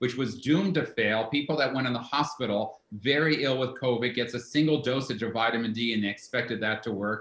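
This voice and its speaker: A man with an ordinary speaking voice speaks at a fairly quick pace. His medium pitch carries fairly even intonation. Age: 60s. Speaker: herbalist and author. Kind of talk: interview.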